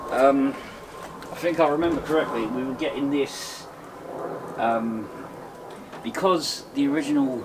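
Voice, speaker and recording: With noticeable background noise and audible room echo, a man with a fairly high pitch talks at a fairly slow pace, pausing long and often. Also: ordinary pitch variation. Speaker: DIY gaming YouTuber. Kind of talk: casual tutorial. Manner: hesitant, many ums.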